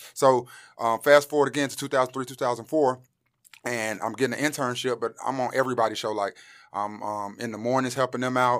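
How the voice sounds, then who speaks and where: Over a silent background in a very clean recording, the speech comes at a very fast pace with fairly even intonation and big swings in loudness. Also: man, medium pitch for a man. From Greensboro, North Carolina (from about age ten; born St. Louis). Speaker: radio personality. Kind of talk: casual interview chat.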